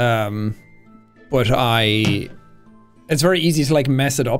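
In the background, faint music plays. A man speaks over it. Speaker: gaming streamer. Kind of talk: casual stream chat. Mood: thoughtful, relaxed. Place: home room.

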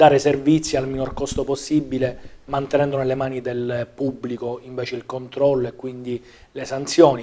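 With a monotone, flat intonation, a man delivers his words at a moderate tempo. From Sicily, Palermo; Sicily. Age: 30s. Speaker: politician. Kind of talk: political interview. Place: studio.

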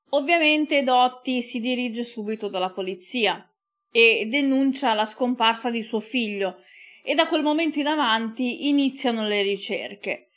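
Over a quiet background, a woman talks at a fairly slow pace in a high voice with ordinary pitch variation. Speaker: true crime YouTuber. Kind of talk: true-crime narration, scripted storytelling. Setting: home recording for video channel. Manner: measured, serious; sombre, occasionally moved. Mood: calm, serious. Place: studio. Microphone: studio mic.

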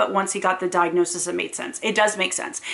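At a fairly quick pace, a woman speaks at a medium pitch. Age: 30s. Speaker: parent vlogger. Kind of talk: casual educational talk to camera. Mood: earnest, reflective. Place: home room. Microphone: camera far.

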